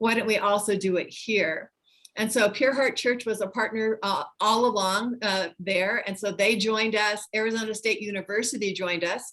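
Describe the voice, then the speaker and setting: With a normal speaking voice, a woman talks at a moderate pace in a fairly high pitch and fairly even intonation. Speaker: nonprofit founder and former pastor. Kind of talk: presentation in online meeting.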